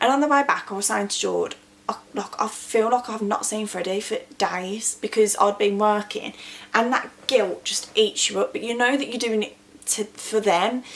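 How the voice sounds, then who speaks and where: A woman with an English accent, fairly high in pitch, at a moderate pace with fairly even intonation, against noticeable background noise. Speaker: small business owner and vlogger. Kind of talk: motivational talk to camera.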